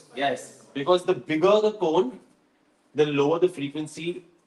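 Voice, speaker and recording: A man at a fairly slow pace, fairly high in pitch, with ordinary pitch variation. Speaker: DJ workshop mentor. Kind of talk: workshop lecture. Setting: live workshop with audience. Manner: casual, conversational.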